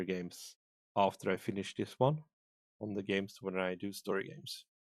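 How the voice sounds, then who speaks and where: A man speaks with a non-native accent in a fairly low voice. The sound is dry and close, with no echo. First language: not English. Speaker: streamer. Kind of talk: gaming stream with reading aloud. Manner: halting.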